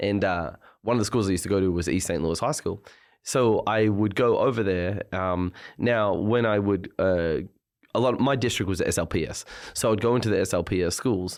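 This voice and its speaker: A man speaks fairly quickly in an Australian accent, against a quiet background. His pitch is fairly low, with ordinary variation. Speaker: clothing brand founder. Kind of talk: casual chat. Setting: studio.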